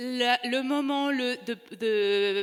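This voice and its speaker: A woman's voice at a fairly high pitch. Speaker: novelist. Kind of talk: panel discussion. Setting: stage with audience. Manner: halting.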